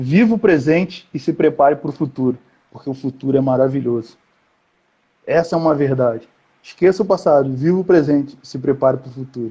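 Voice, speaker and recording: At a fairly quick pace, a man with a fairly high, somewhat breathy voice speaks with ordinary pitch variation. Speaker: youth conference preacher. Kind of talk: sermon. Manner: fast; animated.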